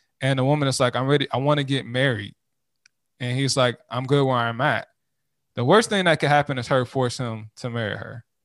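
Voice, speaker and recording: There's a quiet background as a man with an unremarkable speaking voice talks at a fairly quick pace, medium pitch and ordinary pitch variation. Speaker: podcast co-host guest. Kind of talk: casual conversational discussion.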